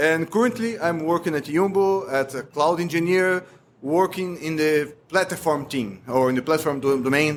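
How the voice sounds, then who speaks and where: Barely pausing, a man with a Brazilian Portuguese accent talks at a moderate pace with lively intonation and a fairly high pitch. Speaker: cloud engineer. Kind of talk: podcast interview. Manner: halting, many fillers.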